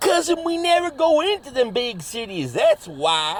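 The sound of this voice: A man uses a put-on character voice at an extremely high pitch with big pitch swings. He speaks at a fairly slow pace.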